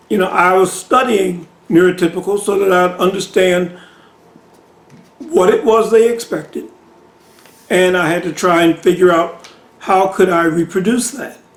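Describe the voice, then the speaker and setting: Long, frequent pauses at a moderate pace in an American accent, with noticeable background noise. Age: 60s. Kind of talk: casual monologue answering a viewer question. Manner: conversational, many fillers.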